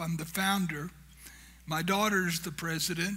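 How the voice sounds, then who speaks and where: Audible room echo frames a man with a high pitch. His tone is bright and sharp, his intonation fairly even. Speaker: founder of a humanitarian charity, guest speaker. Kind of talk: church talk. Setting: church. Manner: humorous, conversational.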